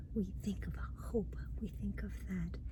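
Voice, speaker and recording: A woman draws her words out very slowly while noticeable background noise carries on. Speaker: ASMR creator, Bible reader. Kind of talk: casual talk to camera, personal reflection.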